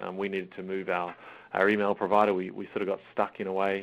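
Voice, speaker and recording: Very fast delivery with an Australian accent, flat and monotone in intonation. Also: man. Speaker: school IT systems manager. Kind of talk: webinar presentation. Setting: online webinar call. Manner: halting, many fillers.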